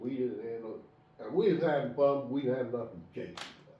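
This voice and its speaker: A man with a fairly high pitch talks at a moderate pace, with audible room echo and noticeable background noise. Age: 70s. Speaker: bear hunter. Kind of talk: casual chat.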